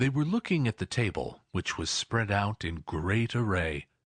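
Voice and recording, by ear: A natural voice reading aloud, full of lively intonation.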